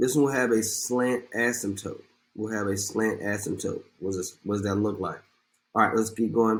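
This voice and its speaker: On a very clean recording with a silent background, a man with an ordinary speaking voice talks at a moderate pace in a medium pitch with fairly even intonation. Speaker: math teacher. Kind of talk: tutorial. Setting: recorded video lesson.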